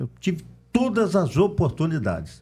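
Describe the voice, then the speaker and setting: The man's pitch is high and his intonation lively. He speaks at a fairly slow pace. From Brazil, Campos dos Goytacazes (Rio de Janeiro state). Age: 60s. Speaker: local political candidate. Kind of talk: podcast interview.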